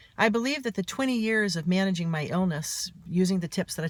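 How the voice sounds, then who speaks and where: A somewhat breathy, fairly low female voice with lively intonation. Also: very clean recording, silent background. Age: 50s. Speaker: author and mental health speaker. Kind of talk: personal vlog monologue.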